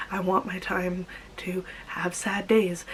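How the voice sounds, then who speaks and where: The speech comes in a monotone, flat intonation. Noticeable background noise runs underneath. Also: woman. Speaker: vlogger. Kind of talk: personal vlog confession. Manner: emotional.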